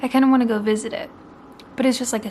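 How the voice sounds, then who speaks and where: With an American accent, a woman talks in a fairly even intonation over noticeable background noise. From Oregon, US. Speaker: book vlogger. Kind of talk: vlog to camera. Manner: quiet, hushed; casual, filler-heavy.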